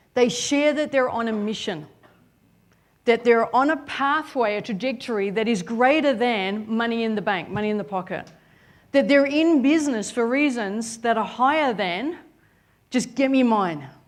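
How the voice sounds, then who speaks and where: Speaking with an Australian accent, a woman uses a fairly high pitch. Her pace is moderate and her intonation lively. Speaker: business coach, seminar speaker. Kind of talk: motivational seminar talk. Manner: animated, energetic.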